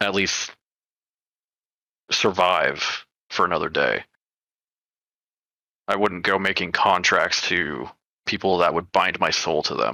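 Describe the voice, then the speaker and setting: A man puts on a raspy character voice with a very deep, low pitch, a fairly slow pace and long, frequent pauses. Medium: actual play. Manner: steady, casual.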